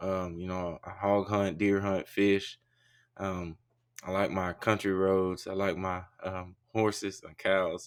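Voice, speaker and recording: With an Arkansas accent, a man speaks very slowly in a very deep, low pitch and a monotone, flat intonation, his loudness swinging widely. The recording is very clean, with a silent background. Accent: Southern US (Arkansas). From Arkansas, US South (Warren). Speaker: college football player, draft prospect. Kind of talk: interview. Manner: halting, many fillers.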